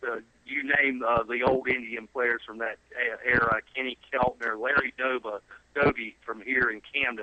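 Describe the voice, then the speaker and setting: Monotone, flat delivery from a medium-pitched man with a Southern US accent, moderate pace, noticeable background noise. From South Carolina. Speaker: son of a sports broadcaster. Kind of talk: interview. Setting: phone call.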